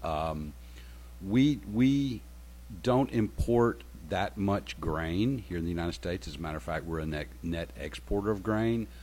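This man talks at a moderate pace in a very deep, low voice with a Southern US accent. His pitch swings very widely, and his tone is somewhat breathy. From rural Alabama. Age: 60s. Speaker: retired military intelligence officer. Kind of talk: radio talk show interview. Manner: halting, full of ums and repeated words.

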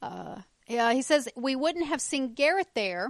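With lively intonation, a woman speaks at a high pitch in a dry, close sound with no echo. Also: very clean recording, silent background. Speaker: podcast co-host. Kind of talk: casual chat.

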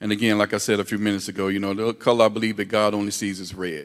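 In a very clean recording with a silent background, a man speaks at a fairly quick pace in a fairly low pitch with a normal speaking voice. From US South. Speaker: church member. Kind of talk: panel discussion.

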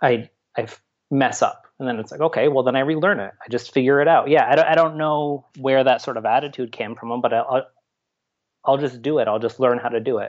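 Here is a man with an unremarkable speaking voice at a medium pitch and an American accent. He talks at a fairly quick pace with fairly even intonation. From upstate New York. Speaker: artist and university lab manager. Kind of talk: interview conversation. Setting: remote call.

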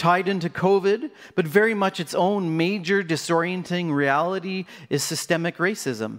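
Very clean recording with a silent background. A man speaks at a high pitch with ordinary pitch variation. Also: moderate pace. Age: 40s. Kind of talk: sermon.

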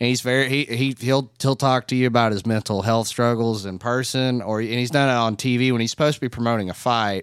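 This man talks at a very fast pace with hardly any pauses, using a medium pitch and fairly even intonation. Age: 20s. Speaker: podcast guest. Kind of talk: casual chat.

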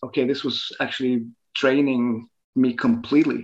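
Male speaker with a Norwegian accent against a quiet background. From northern Norway. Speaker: photographer. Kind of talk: interview. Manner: halting.

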